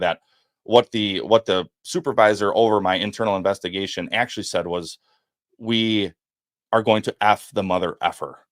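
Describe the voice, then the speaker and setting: A man with a Wisconsin accent talks at a moderate pace in a fairly low voice with fairly even intonation. The recording is very clean, with a silent background and a dry, close sound with no echo. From Wisconsin, US Midwest. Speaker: former FBI agent and whistleblower. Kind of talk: podcast interview testimony. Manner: halting, repeats words.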